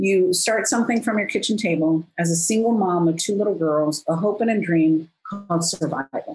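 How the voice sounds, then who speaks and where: At a moderate pace with hardly any pauses, a somewhat breathy woman of medium pitch speaks with very even loudness and ordinary pitch variation. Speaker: business coach. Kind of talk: interview conversation.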